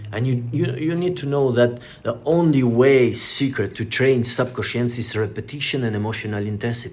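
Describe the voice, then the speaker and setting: Over noticeable background noise, a man talks at a moderate pace with hardly any pauses. His medium-pitched voice shows ordinary pitch variation. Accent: non-native. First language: not English. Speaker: self-help youtuber. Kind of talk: motivational talk. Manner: halting.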